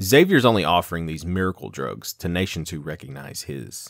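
In a put-on character voice, a man speaks low for a man and at a fairly quick pace, his fairly bright tone marked by vocal fry and big pitch swings, on a very clean recording with a silent background.

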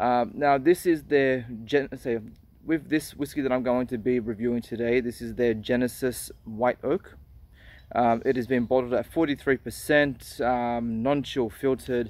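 The voice moves at a fairly slow pace with fairly even intonation and a dry sound with no echo. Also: man. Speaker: whisky reviewer. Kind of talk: casual review vlog. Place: open country. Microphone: phone near.

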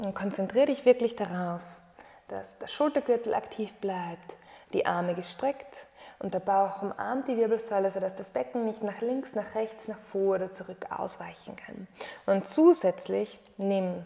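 A woman talks at a fairly slow pace with ordinary pitch variation and big swings in loudness. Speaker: yoga teacher. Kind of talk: guided exercise instruction. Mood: calm, encouraging. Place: home room.

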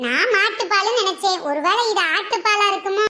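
In a cartoonish character voice with an extremely high pitch, a woman speaks at a moderate pace with ordinary pitch variation.

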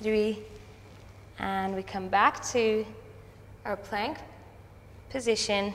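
A woman's fairly high, calm voice at a very slow pace, over light background noise. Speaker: Pilates instructor. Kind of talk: guided exercise class. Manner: calm, steady, encouraging; instructional, paced by breath, rhythmic cues.

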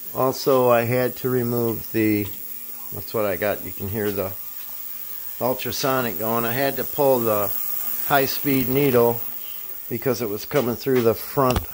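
A man at a fairly slow pace, with fairly even intonation, long, frequent pauses and light background noise. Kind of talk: tutorial. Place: garage. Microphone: phone near.

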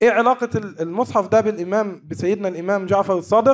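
A man's high voice with ordinary pitch variation. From Egypt. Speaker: archaeology researcher. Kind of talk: conference paper presentation.

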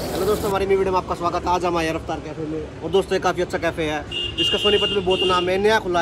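Loud background noise sits behind this man's voice. He speaks with hardly any pauses. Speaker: vlogger. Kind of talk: casual vlog chat. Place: street. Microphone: phone near.

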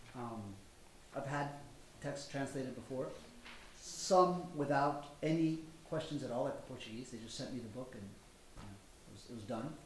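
The speaker has an American accent and talks at a moderate pace with ordinary pitch variation and long, frequent pauses. Audible room echo and light background noise are present. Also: man. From United States. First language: Spanish. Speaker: novelist. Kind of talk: panel discussion. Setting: live event with audience. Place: hall. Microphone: podium.

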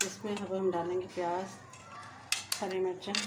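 A woman with a fairly low pitch and a slightly mellow tone speaks at a moderate pace with little pitch movement, and audible room echo is present.

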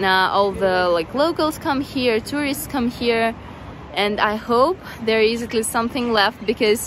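Against light background noise, a woman speaks at a fairly slow pace with ordinary pitch variation, the sound dry with no echo. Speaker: travel vlogger. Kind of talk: casual vlog chat. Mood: cheerful, laughs often. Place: street. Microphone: phone near.

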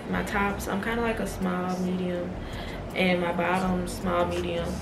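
Loud background noise sits behind a woman talking at a moderate pace. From Baton Rouge, Louisiana. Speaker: nursing student. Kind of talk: casual vlog talk to camera. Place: home room.

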